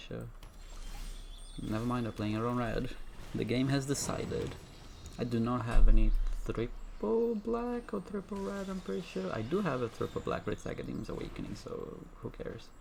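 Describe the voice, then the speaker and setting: Speaking at a fairly quick pace, the voice has a non-native accent. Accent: non-native, trouble with some words. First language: not English. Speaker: gaming streamer. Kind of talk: gameplay commentary. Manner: halting, frequent self-corrections.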